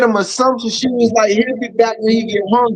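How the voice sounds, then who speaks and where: Extremely high-pitched man with fairly even intonation. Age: 60s. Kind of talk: casual chat. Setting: livestream.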